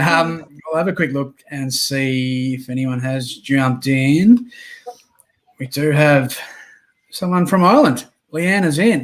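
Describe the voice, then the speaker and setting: Speaking with an Australian accent, a man talks at a fairly slow pace with long, frequent pauses. His pitch is fairly high, with ordinary pitch variation. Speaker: podcast host and reseller. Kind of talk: casual chat.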